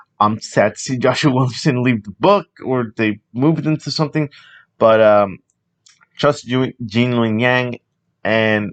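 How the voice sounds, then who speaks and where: Ordinary pitch variation and a moderate pace in an unremarkable speaking voice, the sound dry and close with no echo. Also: man. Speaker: comics podcast host. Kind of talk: solo podcast monologue.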